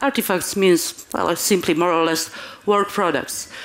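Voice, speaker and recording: A woman with a Polish accent at a moderate pace, against noticeable background noise. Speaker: conference speaker. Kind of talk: conference talk. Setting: stage with audience. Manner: halting.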